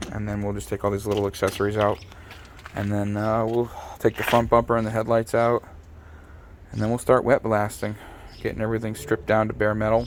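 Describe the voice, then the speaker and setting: Quiet and fairly low-pitched, a man speaks very fast in a monotone, flat intonation. Long, frequent pauses break up his speech. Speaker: car restoration YouTuber. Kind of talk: casual garage vlog talk.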